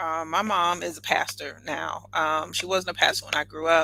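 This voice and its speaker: A woman with a Southern US accent speaks at a fairly slow pace. Her pitch is fairly low, with ordinary pitch variation. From US South. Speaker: entrepreneur and air force veteran. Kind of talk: podcast interview.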